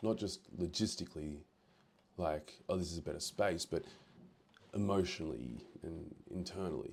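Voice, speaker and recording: A man with a very deep, low voice and vocal fry speaks at a moderate pace with ordinary pitch variation and long, frequent pauses. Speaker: personal reflection vlogger. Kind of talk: personal reflection monologue. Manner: soft, reflective.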